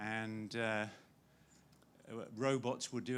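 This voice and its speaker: The speaker is a man at a medium pitch. His intonation stays monotone and flat. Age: 60s. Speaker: audience member. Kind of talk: audience question.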